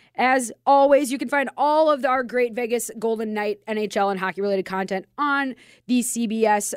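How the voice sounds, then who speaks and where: With a Minnesotan accent, a woman talks at a moderate pace with hardly any pauses, fairly high pitch, and ordinary pitch variation, in a very clean, silent recording with a dry, close sound and no echo. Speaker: radio host. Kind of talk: casual chat. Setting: studio.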